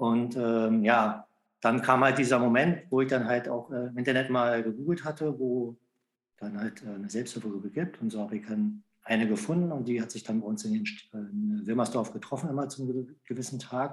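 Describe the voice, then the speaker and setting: A man talks at a moderate tempo in a mid-range pitch, with ordinary pitch variation. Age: 50s. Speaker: self-help group leader and patient. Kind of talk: casual interview. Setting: remote call. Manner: halting, many fillers.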